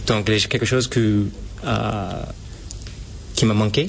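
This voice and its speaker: A man talks with an American accent and fairly low pitch. Noticeable background noise accompanies the recording. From US Northeast, Boston. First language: English (speaking French). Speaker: photographer. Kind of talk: radio interview. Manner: halting.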